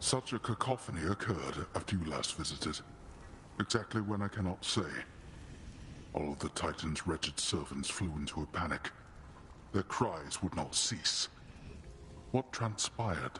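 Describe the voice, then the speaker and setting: Over clear background noise, a man in a put-on character voice speaks at a moderate pace with a very deep, low pitch and long, frequent pauses. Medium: video game. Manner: grave, formal, brooding.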